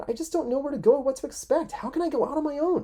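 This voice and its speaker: Someone rattles along at a very fast pace in a high-pitched, put-on character voice. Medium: game stream. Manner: fast, flustered.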